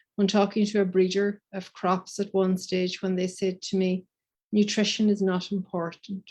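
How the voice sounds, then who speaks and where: In a Donegal accent, a woman talks at a moderate pace and medium pitch with monotone, flat intonation against a quiet background. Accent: Donegal Irish. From Ireland, County Donegal. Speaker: professor. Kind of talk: conference presentation.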